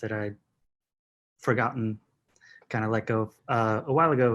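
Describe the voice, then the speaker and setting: Medium-pitched male voice with fairly even intonation, on a very clean recording against a silent background. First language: Yiddish. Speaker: actor. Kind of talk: casual chat.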